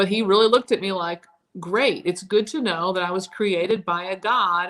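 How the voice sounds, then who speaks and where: An unremarkable speaking voice from a woman, medium in pitch, at a moderate pace with fairly even intonation. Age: 30s. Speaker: live stream co-host. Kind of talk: casual discussion.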